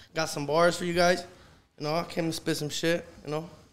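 In an American accent, this voice moves along at a fairly quick pace. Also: man. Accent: Los Angeles urban English. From South Central Los Angeles. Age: 20s. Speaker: rapper. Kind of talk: casual chat.

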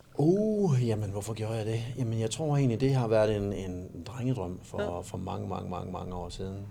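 Noticeable background noise sits behind a man talking at a moderate pace in a fairly low pitch with ordinary pitch variation. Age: 40s. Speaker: amateur bodybuilder. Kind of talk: casual interview. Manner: halting.

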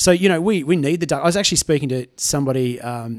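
At a fairly quick pace, a man with an Australian accent talks with ordinary pitch variation. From Tamworth, New South Wales, Australia. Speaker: musician. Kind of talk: casual chat. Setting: at the guest's home.

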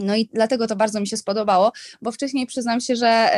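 An unremarkable speaking voice at a fairly quick pace, with ordinary pitch variation and a dry, close sound with no echo. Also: woman. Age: 30s. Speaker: fashion stylist and influencer. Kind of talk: casual chat.

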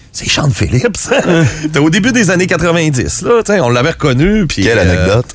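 Amid noticeable background noise, a man with a fairly high pitch makes very wide pitch swings while his loudness stays very even. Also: moderate pace. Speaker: music radio columnist. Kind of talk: casual chat.

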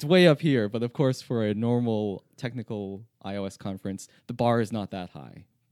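A man with a Canadian accent and an unremarkable speaking voice talks at a moderate pace in a medium pitch, with ordinary pitch variation, hardly any pauses and big swings in loudness, on a very clean recording with a silent background and a dry, close sound with no echo. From Canada, Toronto. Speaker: software engineer. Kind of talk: interview.

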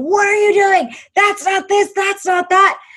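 In a put-on character voice, the speaker shouts at an extremely high pitch and a fairly slow pace. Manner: yelling, irritated.

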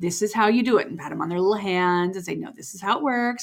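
A woman speaks at a fairly quick pace in a normal speaking voice. Her pitch sits in the medium range, and her intonation is lively. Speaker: podcast host. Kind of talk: casual chat.

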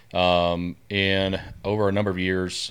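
A man with a very deep, low pitch speaks in a Southern US accent on a very clean recording with a silent background. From US South, northwest Louisiana. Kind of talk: podcast interview.

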